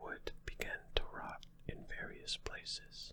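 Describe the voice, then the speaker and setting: Very slow, whispered speech. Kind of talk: ASMR sleep talk.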